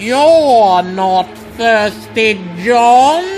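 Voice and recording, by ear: Over faint music in the background, a man uses a put-on character voice at an extremely high pitch, very slow, with lively intonation and a slightly mellow tone.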